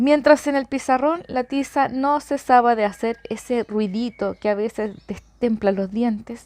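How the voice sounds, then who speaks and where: Fairly slow, high-pitched speech from a woman, her pitch shifting in an ordinary way. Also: hardly any pauses. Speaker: mother reading aloud for children. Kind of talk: audiobook reading. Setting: home recording.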